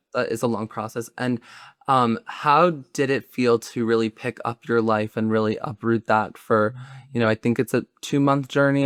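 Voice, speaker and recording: With an American accent and a normal speaking voice, a man speaks at medium pitch and a moderate pace with fairly even intonation, in a very clean, dry, close recording with a silent background and no echo. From US Northeast (New York / New Jersey). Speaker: podcast host. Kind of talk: podcast interview.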